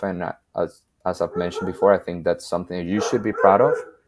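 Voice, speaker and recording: A man speaks with a Spanish accent against a quiet background. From Venezuela. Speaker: videographer and photographer. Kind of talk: podcast interview.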